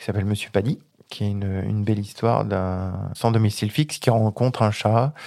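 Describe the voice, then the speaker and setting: Over a very clean recording with a silent background, a man talks at a moderate pace. His pitch is fairly low, with ordinary variation. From Isère, French Alps. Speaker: children's author and agricultural technician. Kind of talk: interview. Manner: halting.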